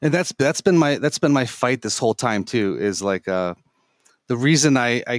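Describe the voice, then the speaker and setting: At a moderate pace, a man talks in an ordinary speaking voice with medium pitch. The sound is dry and close with no echo, on a very clean recording with a silent background. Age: 40s. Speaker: gaming center owner. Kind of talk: interview.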